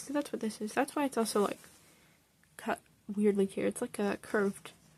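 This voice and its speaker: A woman's speech comes through with noticeable background noise around it. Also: dry, close sound with no echo. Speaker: hobby artist showing sketchbook. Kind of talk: casual show-and-tell.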